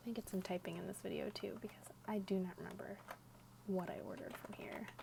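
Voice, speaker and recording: A woman whispers at a moderate pace, with noticeable background noise around her. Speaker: ASMR content creator. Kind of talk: ASMR ramble, casual talk to camera. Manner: soft-spoken, sometimes whispering.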